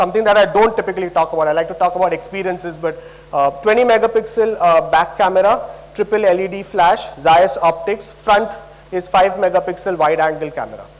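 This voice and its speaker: Noticeable background noise sits under a man speaking at a fairly quick pace, his pitch high with ordinary variation. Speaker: product presenter. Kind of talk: product launch presentation. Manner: fast.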